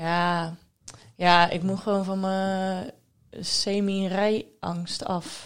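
Speaking at a very slow pace, a woman keeps a monotone, flat intonation. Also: medium pitch for a woman. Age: 20s. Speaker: podcast co-host. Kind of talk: casual chat.

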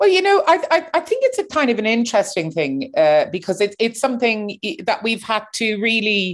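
A woman with a Cork accent, fairly high-pitched, at a moderate pace with hardly any pauses and very wide pitch swings, against a quiet background. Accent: Cork Irish. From Ireland, Cork. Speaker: opera singer and activist. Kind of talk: interview.

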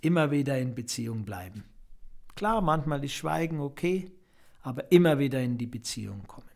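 Speaking at a moderate pace with long, frequent pauses, a man uses a fairly high pitch and lively intonation. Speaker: podcast host, spiritual coach. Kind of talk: reflective monologue.

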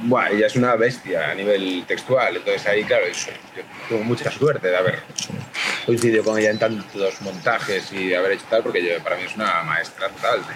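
There is noticeable background noise. Through it, a man speaks fairly quickly. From Galicia, Ourense. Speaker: actor and theatre director. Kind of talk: casual chat.

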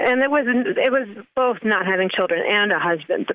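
A woman with a plain, everyday voice speaks with lively intonation. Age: 40s. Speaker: singer, songwriter and author. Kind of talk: casual chat.

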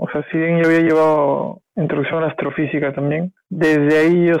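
A man is speaking. His pitch is fairly high. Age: 30s. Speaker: physics student. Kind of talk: casual chat. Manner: halting, many fillers.

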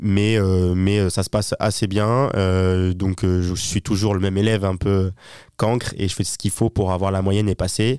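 Speaking in a normal speaking voice at a fairly low pitch, a man keeps a moderate pace and fairly even intonation, captured in a very clean recording with a silent background and a dry, close sound with no echo. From southern France, Toulon. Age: 20s. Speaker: entrepreneur and purchasing manager. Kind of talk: casual interview.

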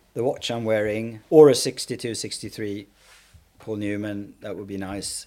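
A man with a Swedish accent, a dark, mellow tone, fairly low pitch, fairly even intonation and a very slow pace. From Sweden, Stockholm area. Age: 40s. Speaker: fashion creative director. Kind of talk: casual interview chat.

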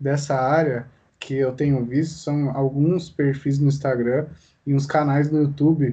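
Somewhat breathy and fairly high-pitched, this man's voice has a dark, mellow tone. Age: young. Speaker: podcast host. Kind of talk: casual interview.

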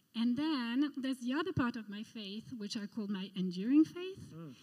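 A woman with a French accent sounds nervous, talking at a fairly slow pace and fairly high pitch. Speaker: art curator. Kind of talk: testimony. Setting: church.

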